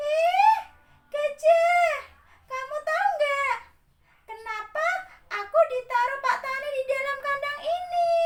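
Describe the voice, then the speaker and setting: A put-on character voice at an extremely high pitch, fairly slow in pace, with long, frequent pauses. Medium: read story.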